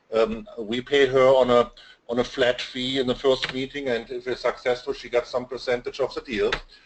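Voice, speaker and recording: A man with a German accent, medium in pitch, monotone and flat, at a moderate pace. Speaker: digital marketing consultant. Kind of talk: webinar interview. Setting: online webinar. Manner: halting, many fillers.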